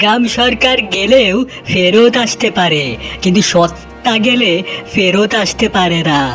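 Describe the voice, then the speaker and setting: A cartoonish character voice at a middle pitch speaks at a very slow pace, with clear music playing in the background. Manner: playful, giggling, sly.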